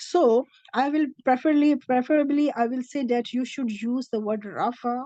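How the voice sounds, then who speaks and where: A woman's high, dark, mellow voice in a Pakistani accent, with lively intonation at a fairly slow pace. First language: Urdu. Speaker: Arabic language teacher. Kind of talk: lecture. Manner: halting.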